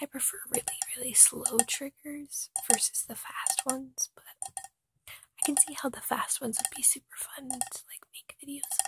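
A man whispering at a moderate pace, the sound dry and close with no echo. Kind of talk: ASMR whisper ramble. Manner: whispered.

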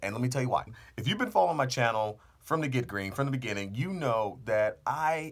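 With lively intonation, a man speaks at a fairly quick pace. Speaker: car channel host. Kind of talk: casual vlog chat. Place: booth. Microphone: studio mic.

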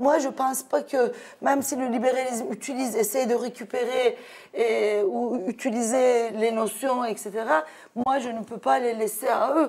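Speaking in a Turkish accent, a woman uses a high pitch and fairly even intonation at a fairly slow pace. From Turkey. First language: Turkish (speaking French). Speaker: sociologist and activist; guest. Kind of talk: debate. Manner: halting. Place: studio. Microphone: lapel.

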